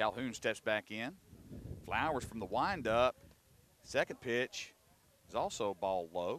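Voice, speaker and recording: With a Southern US accent, a man speaks at a fairly slow pace and medium pitch, with lively intonation and long, frequent pauses. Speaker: baseball play-by-play announcer. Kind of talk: live commentary. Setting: outdoors.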